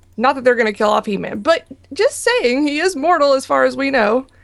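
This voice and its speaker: This is a woman's voice. She talks at a fairly quick pace. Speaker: podcast co-host. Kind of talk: casual chat. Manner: giggly.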